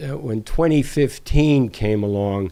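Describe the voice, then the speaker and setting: At a fairly slow pace, a man talks in a dark, mellow tone. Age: 70s. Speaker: retired professional, long-distance hiker, author. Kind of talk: casual interview conversation. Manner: halting, with self-corrections.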